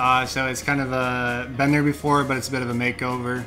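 Clear music plays in the background as a man speaks with fairly even intonation. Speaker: brewery reviewer. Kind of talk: review commentary. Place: home room. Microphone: camera far.

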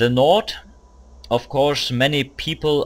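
Male speech on a very clean recording, silent in the background. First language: not English. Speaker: video game player. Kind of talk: live gameplay commentary. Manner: hesitant, many filler words.

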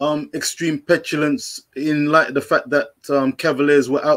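In a quiet background, a man speaks with monotone, flat intonation. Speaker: guest caller; guest. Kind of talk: livestream panel discussion. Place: home room. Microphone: earbuds.

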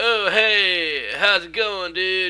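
A man's put-on character voice, high-pitched, bright and sharp yet clear and smooth, with ordinary pitch variation and a very slow pace.

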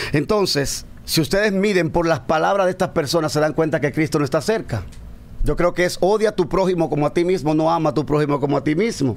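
A man talks very fast. His pitch varies in an ordinary way. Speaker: pastor. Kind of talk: casual chat. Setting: studio. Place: studio. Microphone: studio mic.

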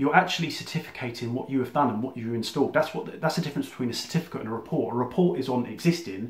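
A man with a southern English accent talks at a very fast pace with hardly any pauses. His pitch varies in an ordinary way, and room echo is audible. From southern England (Surrey); England. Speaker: electrician and business coach. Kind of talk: explainer monologue to camera; casual explanatory talk to camera. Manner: casual, with fillers and restarts. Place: home room. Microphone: phone near.

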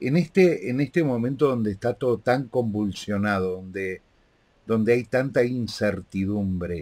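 With a Rioplatense accent, a man speaks in a dark, mellow tone at a fairly low pitch with lively intonation. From Argentina. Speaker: interviewer and live show host; interviewer, live show host. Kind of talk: interview. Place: home room. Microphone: video call.

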